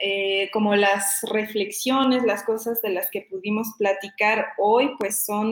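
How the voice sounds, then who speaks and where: Speaking at a very slow pace, a woman with a fairly high pitch keeps her intonation fairly even. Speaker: doctoral researcher in environmental studies. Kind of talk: interview. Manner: halting, many fillers; passionate.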